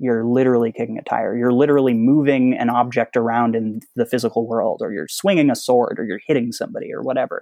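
On a very clean recording with a silent background, a man speaks at medium pitch in a dry, close sound with no echo. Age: 30s. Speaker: interactive fiction author. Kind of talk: interview. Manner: halting, many fillers and repeats.

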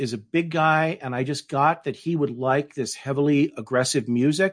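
A man with a General American accent speaks at a moderate pace against a quiet background. His fairly high pitch shows ordinary variation, in an unremarkable speaking voice. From Denver, Colorado. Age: middle-aged. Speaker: novelist. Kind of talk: interview.

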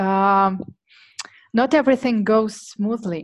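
A woman with a Russian accent and a fairly high pitch. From Siberia, Russia. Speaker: startup marketing head. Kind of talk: interview conversation. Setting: remote call. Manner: hesitant, filler-heavy.

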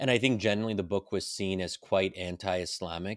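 In an American accent, a man with a normal speaking voice and fairly low pitch talks at a moderate pace, on a very clean recording with a silent background and a dry, close sound with no echo. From US, Pennsylvania. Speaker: policy think tank fellow and author. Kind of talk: casual chat.

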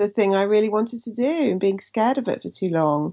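With a southern English accent, a woman talks with ordinary pitch variation. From Somerset, England. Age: 40s. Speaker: writer and comedian. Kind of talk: casual chat.

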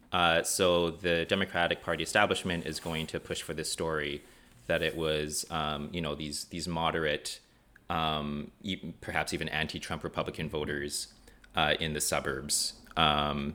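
A man's very deep, low voice with a bright, sharp tone, monotone, flat intonation and a moderate pace. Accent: Canadian. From western Canada, Vancouver and rural Alberta. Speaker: activist organizer. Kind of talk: interview conversation. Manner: hesitant, many fillers.

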